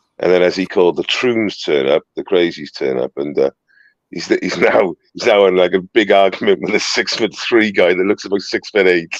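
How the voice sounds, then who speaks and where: A man with a Welsh accent at a moderate pace, in a dry, close sound with no echo. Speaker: citizen journalist livestreamer. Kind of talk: casual livestream chat. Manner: halting, repetitive.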